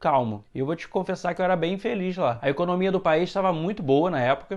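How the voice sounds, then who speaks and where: A man's fairly quick, rather high-pitched voice with a Carioca accent, over a quiet background. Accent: Carioca (Rio de Janeiro). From Brazil, Rio de Janeiro. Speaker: vlogger. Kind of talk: personal vlog monologue.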